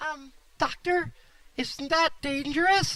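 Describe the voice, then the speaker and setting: In a squeaky, put-on character voice, the speaker goes at a fairly slow pace with fairly even intonation. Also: woman, high pitch for a woman. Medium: comedy sketch.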